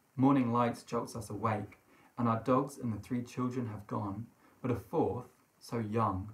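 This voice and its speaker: A man speaks with fairly even intonation and a somewhat breathy voice. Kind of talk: literary reading. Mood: eerie, hushed storytelling. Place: home room.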